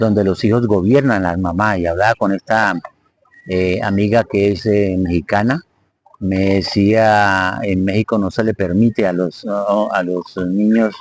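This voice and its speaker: A man with a plain, everyday voice speaks at a fairly low pitch and a fairly slow pace. His intonation is fairly even, and the sound is dry and close with no echo. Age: 60s. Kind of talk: live-stream talk on psychology and faith.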